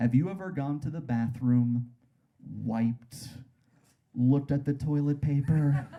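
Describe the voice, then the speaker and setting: The pace is very slow. The voice is somewhat breathy. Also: man. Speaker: stand-up comedian. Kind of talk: stand-up comedy performance.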